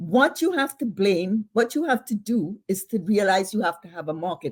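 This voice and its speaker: A woman's fairly high, somewhat breathy voice makes very wide pitch swings at a moderate pace. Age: old. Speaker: novelist and professor. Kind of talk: interview conversation.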